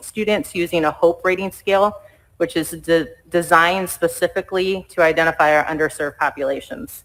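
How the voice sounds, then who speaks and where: This woman's voice sits fairly low in pitch, and her intonation is fairly even. She talks at a fairly quick pace. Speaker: school district administrator. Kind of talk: presentation at school board meeting. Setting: board meeting. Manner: fast.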